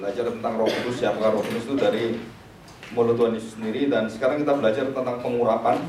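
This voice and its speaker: A man talks at a very fast pace in a medium pitch with monotone, flat intonation, amid noticeable background noise and audible room echo. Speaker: Bible teacher. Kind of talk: lecture. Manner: loud.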